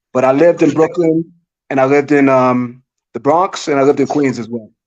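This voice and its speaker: With a New York accent, a man talks at a fairly quick pace in a fairly high voice with fairly even intonation. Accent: New York accent, likened to Jersey. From New York City (Manhattan). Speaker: DJ. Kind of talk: casual chat.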